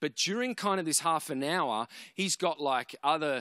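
A man with an Australian accent speaks with a bright, sharp tone in a very clean recording with a silent background and a dry, close sound with no echo. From Australia, Canberra. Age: 30s. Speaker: preacher. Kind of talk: sermon.

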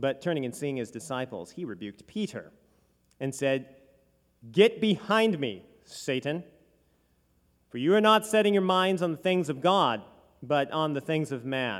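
A fairly high-pitched man at a moderate pace, with very wide pitch swings and long, frequent pauses. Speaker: church liturgist and podcast announcer. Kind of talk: scripture reading and announcement. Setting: church.

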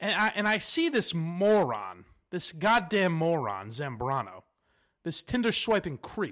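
An American accent from a man, high in pitch, fairly slow, with very wide pitch swings. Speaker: podcast host. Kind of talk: casual monologue. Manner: animated.

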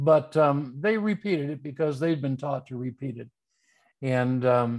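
In a quiet background, a man with a Midwestern American accent talks in a fairly high pitch with ordinary pitch variation. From US Midwest, Detroit area. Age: 70s. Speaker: undertaker and writer. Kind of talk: interview conversation.

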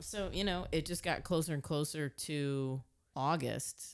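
At a moderate pace, a woman is talking. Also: very clean recording, silent background. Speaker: podcast host. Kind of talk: casual chat.

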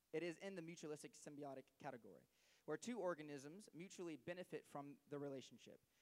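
Talking at a very fast pace, a man keeps ordinary pitch variation. His voice sits fairly high. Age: young. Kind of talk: sermon.

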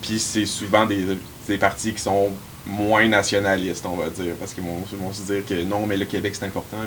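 A man's fairly low voice with fairly even intonation over noticeable background noise. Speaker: university student and riding assistant. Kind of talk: casual panel discussion.

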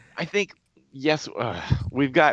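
With lively intonation, a man speaks in a dry, close sound with no echo. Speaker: radio co-host and author. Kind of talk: casual chat. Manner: halting, repeats words.

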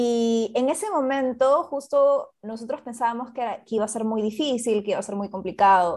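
Against a quiet background, a woman with a normal speaking voice talks at a moderate pace in a fairly high pitch, with ordinary pitch variation. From Peru. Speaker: social entrepreneur, co-founder. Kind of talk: interview.

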